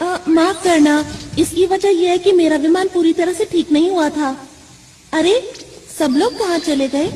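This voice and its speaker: This put-on character voice sits at an extremely high pitch and moves at a moderate pace. A clear echo hangs on it. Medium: fan dub. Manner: polite, formal.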